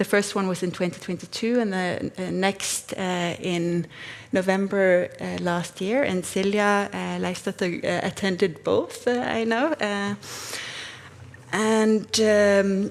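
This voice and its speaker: Very slowly, a woman speaks with ordinary pitch variation. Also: medium pitch for a woman. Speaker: researcher. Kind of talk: conference talk. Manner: halting.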